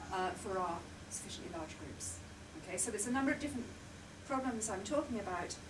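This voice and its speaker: Very fast speech comes from a woman with a fairly high pitch and lively intonation, broken by long, frequent pauses. Audible room echo and noticeable background noise are present. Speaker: mathematics professor. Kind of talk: lecture. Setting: lecture room with audience, recorded for video link.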